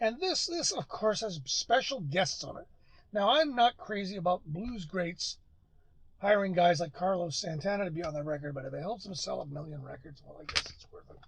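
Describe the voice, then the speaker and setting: Lively intonation from a man with a high pitch, at a moderate pace. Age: 60s. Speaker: music collector vlogger and former sound engineer. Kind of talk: casual record haul review. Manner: rambling with frequent fillers.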